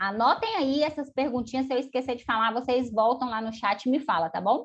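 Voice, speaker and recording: An animated tone and lively intonation drive this fairly quick delivery. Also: woman. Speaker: finance educator. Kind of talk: live online class. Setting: video call.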